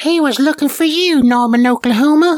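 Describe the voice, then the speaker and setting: A woman does a put-on character voice, high-pitched and croaky. She speaks at a moderate pace. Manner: weak.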